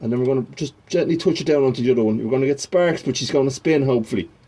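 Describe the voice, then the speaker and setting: Noticeable background noise sits behind a man speaking with a Dublin accent. His pitch varies in an ordinary way. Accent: Dublin Irish. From Ireland, Dublin. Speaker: classic car hobbyist. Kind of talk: tutorial. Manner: fast.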